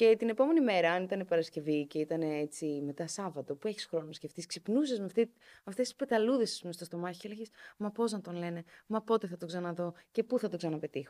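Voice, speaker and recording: A woman's dark, mellow, fairly low voice at a fairly quick pace, with lively intonation, big swings in loudness and a dry, close sound with no echo. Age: 30s. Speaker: journalist. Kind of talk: casual chat.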